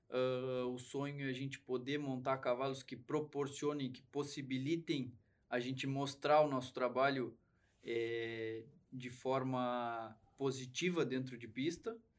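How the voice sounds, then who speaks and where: Talking at a fairly slow pace and medium pitch, a man keeps a monotone, flat intonation while his loudness swings widely. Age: 20s. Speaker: horse trainer and rider. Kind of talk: casual interview chat.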